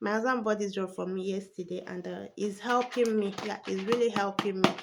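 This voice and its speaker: A woman speaks over noticeable background noise. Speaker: vlogger. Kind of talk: casual vlog talk.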